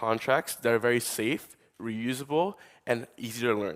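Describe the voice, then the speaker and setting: With a New York accent, a man talks at a medium pitch with ordinary pitch variation. The recording is very clean, with a silent background. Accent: New York American. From US, New York. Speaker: tech startup co-founder, conference speaker. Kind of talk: conference talk. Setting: conference stage with audience. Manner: fast.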